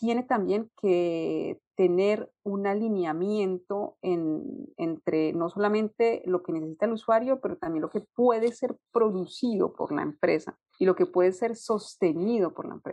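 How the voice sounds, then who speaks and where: In a dark, mellow tone, a woman speaks at a fairly slow pace with medium pitch and ordinary pitch variation. The sound is dry and close with no echo. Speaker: UX designer. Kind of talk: interview. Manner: halting, repeats words.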